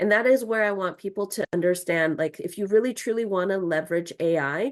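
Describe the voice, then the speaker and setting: Against a quiet background, a woman uses a normal speaking voice at medium pitch with ordinary pitch variation. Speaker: online course instructor. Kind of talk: tutorial.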